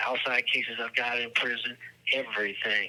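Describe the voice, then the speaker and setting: A fairly brisk delivery with background noise clearly present. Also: man. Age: 60s. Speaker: prison inmate. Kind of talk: phone interview. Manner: halting.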